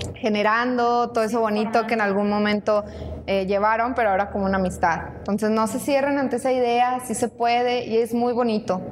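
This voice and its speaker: A woman speaks at a fairly quick pace with a fairly high pitch and fairly even intonation. Her loudness stays very even, and there is noticeable background noise. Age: 20s. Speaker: coffee shop operations coordinator and student. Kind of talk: casual chat. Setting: coffee shop.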